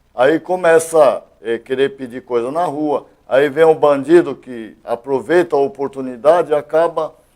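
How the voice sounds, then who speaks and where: A man talks at a moderate pace in an unremarkable speaking voice. His pitch is fairly high, with ordinary pitch variation. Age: 60s. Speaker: retired police colonel, elected state deputy. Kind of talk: interview.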